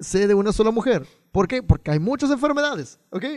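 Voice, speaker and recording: Very wide pitch swings and an animated tone at a very fast pace, against a quiet background with a dry, close sound and no echo. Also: man. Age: 20s. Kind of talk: casual chat.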